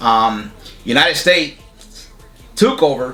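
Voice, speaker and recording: Music plays in the background. The speaker talks with a strong Puerto Rican accent. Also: man. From Puerto Rico. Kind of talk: interview.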